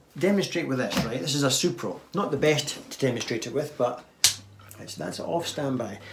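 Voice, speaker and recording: Speaking at a moderate pace, a man is heard with audible room echo and noticeable background noise. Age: old. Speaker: guitar YouTuber. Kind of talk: viewer Q&A talk with demonstration. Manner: casual, halting.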